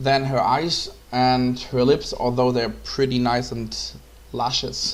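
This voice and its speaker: Speaking very slowly with a German accent, a man is heard with audible room echo. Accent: German accent, non-fluent English. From Germany. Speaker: photographer. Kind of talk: tutorial. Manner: halting, many fillers.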